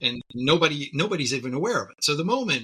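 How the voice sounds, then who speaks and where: A man is speaking. His pace is moderate. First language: not English. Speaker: tech company CEO. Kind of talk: podcast interview.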